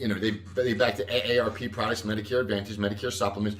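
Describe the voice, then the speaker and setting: A male voice is heard. The room around him echoes audibly. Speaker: Medicare insurance advisor. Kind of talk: casual live stream talk. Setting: Facebook Live stream. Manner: loud; halting.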